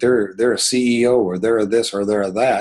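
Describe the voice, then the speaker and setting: A man with a plain, everyday voice, fairly low pitch, fairly even intonation and a moderate pace, on a very clean recording with a silent background. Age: 60s. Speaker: business coach leading a team call. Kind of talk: motivational team meeting talk.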